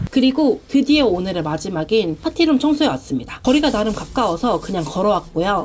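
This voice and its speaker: Over noticeable background noise, a woman speaks fairly quickly at a fairly high pitch with very wide pitch swings. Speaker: frugal-living vlogger with side jobs. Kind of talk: vlog voice-over narration.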